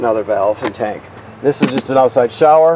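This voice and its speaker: The recording has noticeable background noise. A man speaks in a dry sound with no echo. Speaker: trailer walkthrough guide. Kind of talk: tutorial. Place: street. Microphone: phone near.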